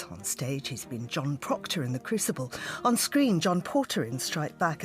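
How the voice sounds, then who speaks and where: Music plays in the background as a woman speaks. Her pitch swings very widely, and her pace is moderate. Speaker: radio host. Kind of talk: radio show intro.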